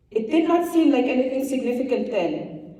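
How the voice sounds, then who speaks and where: A woman speaks at a moderate pace in a high voice with a Palauan accent. Audible room echo is present. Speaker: government official. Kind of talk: speech.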